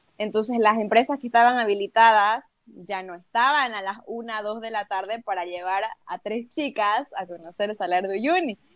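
In a very clean recording with a silent background, a woman with a normal speaking voice, fairly high in pitch, speaks at a moderate pace with ordinary pitch variation and big swings in loudness, the sound dry and close with no echo. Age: 20s. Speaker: travel content creator. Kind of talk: casual chat.

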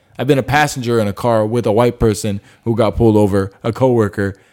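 In a very clean recording with a silent background, a man at medium pitch uses a normal speaking voice with ordinary pitch variation. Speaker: podcast host. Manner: laid-back, joking.

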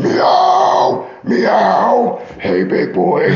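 A man performs a put-on character voice. There is a clear echo on the recording. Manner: menacing, mocking.

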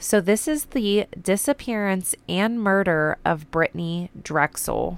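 Speaking very slowly, a woman with a medium-pitched voice uses lively intonation and very even loudness in a dry, close recording with no echo. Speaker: true crime podcast host. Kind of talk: true crime storytelling narration. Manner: casual, chatty.

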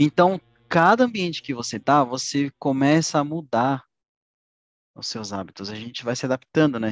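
A man's fairly high voice at a moderate pace, with lively intonation, big swings in loudness and long, frequent pauses, dry and close with no echo over a quiet background. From Brazil, urban periphery. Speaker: podcast co-host. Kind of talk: casual chat.

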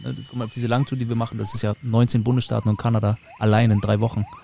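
A man talks at a very fast pace. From northern Germany, Mecklenburg (Rostock/Schwerin). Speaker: podcast host, tour guide. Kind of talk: casual chat.

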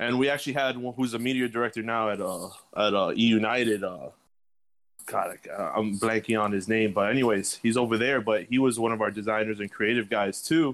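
A plain, everyday voice with an American accent talks at a moderate pace with fairly even intonation. The recording is very clean, with a silent background. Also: man, medium pitch for a man. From US South, Miami, Florida. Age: 20s. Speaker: esports executive. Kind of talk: interview.

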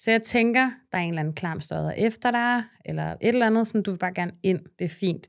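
On a very clean recording with a silent background, a woman talks fairly quickly at a medium pitch with ordinary pitch variation in an ordinary speaking voice. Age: 30s. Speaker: content creator. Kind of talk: casual chat.

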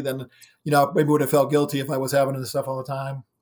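A man with an American accent at a fairly high pitch and a very fast pace. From Ohio, US Midwest. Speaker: physician and paranormal investigator. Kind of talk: interview. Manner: halting, many fillers.

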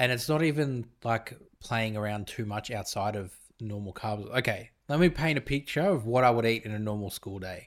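A man with an Australian accent at medium pitch and a moderate pace, with ordinary pitch variation, on a very clean recording with a silent background. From Australia, Italian family. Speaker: podcast co-host, father. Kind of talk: casual chat.

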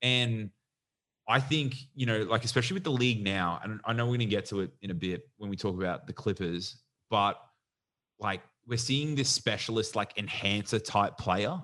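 Against a quiet background, a man with an Australian accent speaks at a moderate pace in a bright, sharp tone. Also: medium pitch for a man, ordinary pitch variation. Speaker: podcast co-host. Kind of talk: casual chat.

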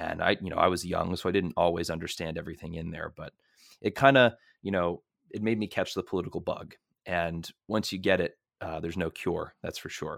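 In a very clean recording with a silent background and a dry, close sound with no echo, a man with an American accent and a very deep, low pitch speaks fairly quickly with ordinary pitch variation. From Merrimack, Massachusetts. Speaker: podcast co-host, university student. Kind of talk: casual political discussion.

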